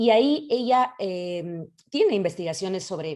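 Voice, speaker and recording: The woman's voice sits at a fairly low pitch and has a dark, mellow tone. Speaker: psychologist. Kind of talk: lecture. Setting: video call.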